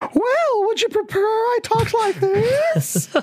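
A put-on character voice pitched extremely high. It moves at a very slow pace.

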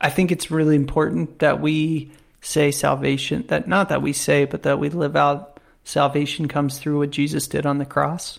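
On a very clean recording with a silent background, an unremarkable speaking voice moves at a moderate pace with fairly even intonation. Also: man. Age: 30s. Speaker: podcast co-host. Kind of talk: casual chat.

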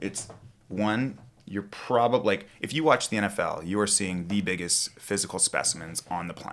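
A man with a Canadian accent and a plain, everyday voice speaks at a moderate pace with fairly low pitch and ordinary pitch variation. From western Canada (Kamloops, British Columbia interior). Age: 30s. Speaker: strength coach and photographer. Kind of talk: casual chat.

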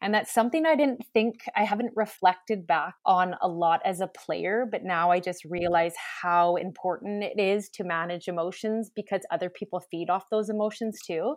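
Speaking at a moderate pace with hardly any pauses, a woman with a Canadian accent has a normal speaking voice at medium pitch with ordinary pitch variation, over a quiet background. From western Canada. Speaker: teacher and basketball coach. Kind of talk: casual chat.

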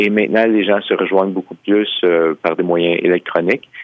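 A man with an unremarkable speaking voice talks at a fairly low pitch with ordinary pitch variation. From Quebec. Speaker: historian and author. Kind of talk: interview.

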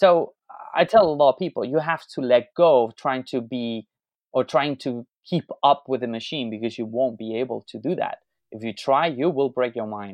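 A man with a Spanish accent, medium pitch and ordinary pitch variation. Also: moderate pace. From Spain. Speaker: tech entrepreneur. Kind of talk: interview.

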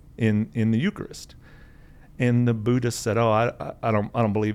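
A man with an American accent, medium in pitch, at a moderate pace. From Kansas. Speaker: layman parishioner guest. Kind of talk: casual conversational interview.

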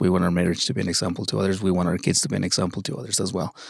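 A man with a Mexican accent and a very deep, low voice, in a very clean recording with a silent background. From Mexico. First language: Spanish. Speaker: father. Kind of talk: testimony.

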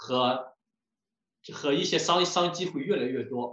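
The voice belongs to a man. His words carry an audible echo from the room. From China, Shandong. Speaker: home builder and lecturer. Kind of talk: lecture.

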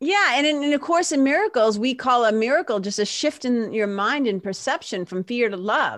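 A woman with an American accent speaks at a high pitch and a moderate pace, with lively intonation and hardly any pauses. Noticeable background noise is present. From Massachusetts (Lawrence, north of Boston). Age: 50s. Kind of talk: casual chat. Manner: animated.

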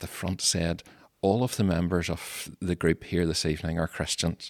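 A man with a Mid Ulster accent and a very deep, low pitch speaks at a moderate pace, with a dry, close sound, no echo, and a very clean, silent background. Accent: Northern Irish (mid-Ulster). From Northern Ireland, County Tyrone. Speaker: Methodist minister. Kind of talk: interview. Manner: halting, many fillers.

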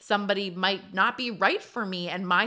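In a very clean recording with a silent background, a woman speaks at a medium pitch in a bright, sharp tone with fairly even intonation. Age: 30s. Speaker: podcast host. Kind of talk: solo monologue. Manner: casual, filler-heavy.

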